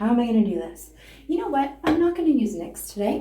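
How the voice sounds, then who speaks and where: Somewhat breathy and dark, mellow in tone, the voice swings very widely in pitch, with audible room echo around it. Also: woman. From Canada. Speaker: beauty and comedy vlogger. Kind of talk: casual makeup tutorial. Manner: casual, rambling, profane.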